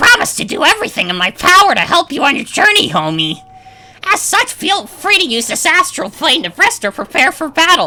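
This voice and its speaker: A strained, put-on character voice, female-sounding and extremely high-pitched, at a fairly quick pace. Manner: strained imitation.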